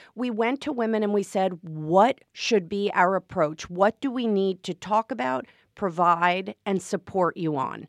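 In a normal speaking voice, a woman of medium pitch talks at a fairly slow pace with lively intonation and hardly any pauses. The background is quiet and the sound is dry and close, with no echo. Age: 50s. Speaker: wealth management executive. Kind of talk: interview. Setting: studio.

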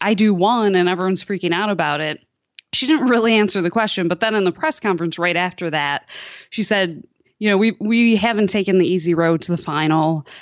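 A woman speaks at a fairly quick pace in an ordinary speaking voice. Her pitch is medium, with ordinary pitch variation. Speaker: soccer journalist. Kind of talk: interview about soccer. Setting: remote call from France.

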